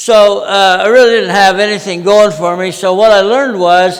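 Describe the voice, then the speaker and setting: A man's high-pitched voice at a fairly slow pace, with fairly even intonation, noticeable background noise and audible room echo. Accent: American. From Utah, US. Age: 80s+. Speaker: project management veteran and conference speaker. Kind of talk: conference talk. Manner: many fillers and restarts.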